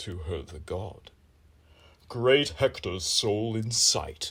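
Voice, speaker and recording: The speaker puts on a character voice and talks very slowly. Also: man. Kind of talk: epic verse declamation. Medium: read story. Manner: stately, authoritative.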